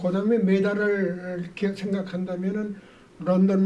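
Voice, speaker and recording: Dark, mellow tone in a man's high-pitched voice. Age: 80s+. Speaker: marathon runner. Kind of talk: interview answer.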